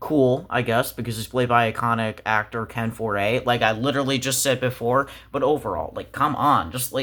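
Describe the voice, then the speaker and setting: With a bright, sharp tone, a man sounds animated, his pitch varying in an ordinary way. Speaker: movie reviewer. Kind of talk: casual movie review commentary. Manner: animated, exasperated; pitch rising when frustrated.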